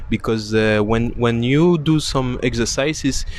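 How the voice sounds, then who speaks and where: A man with a French accent speaks at a very slow pace over noticeable background noise. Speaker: swimming and wellness coach. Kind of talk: casual live-stream interview. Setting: Instagram live stream. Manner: halting, frequent hesitations.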